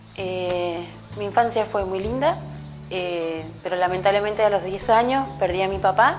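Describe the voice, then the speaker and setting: A woman at medium pitch and a fairly slow pace, with audible room echo and music in the background. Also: ordinary pitch variation. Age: 30s. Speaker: local political candidate, teacher. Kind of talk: personal testimony interview. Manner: hesitant, many filler sounds.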